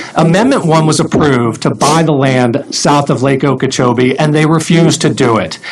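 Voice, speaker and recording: Over noticeable background noise, a man with a fairly high-pitched voice talks with ordinary pitch variation and very even loudness. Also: moderate pace, hardly any pauses. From Florida, Palm Beach County. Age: 40s. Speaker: congressional candidate. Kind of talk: political debate.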